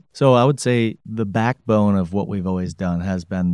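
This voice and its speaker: A man speaks at a moderate pace with an Upper Midwest accent. His pitch varies in an ordinary way, and the sound is dry and close with no echo. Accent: Upper Midwest American. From Grand Rapids, Michigan. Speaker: company president. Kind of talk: interview.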